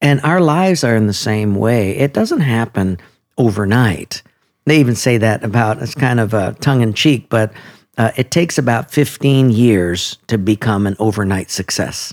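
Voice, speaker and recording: This man has an ordinary speaking voice, pitched in the medium range, moving at a moderate pace with ordinary pitch variation. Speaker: pastor. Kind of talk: casual interview conversation.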